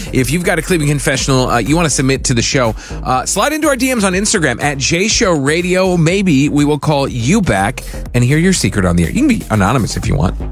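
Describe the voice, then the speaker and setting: A man at fairly high pitch, very fast and with hardly any pauses, very wide pitch swings but very even loudness, plus audible room echo and noticeable background noise. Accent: American. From US Midwest, Wayne County, Ohio. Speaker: radio host. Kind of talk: casual radio chat.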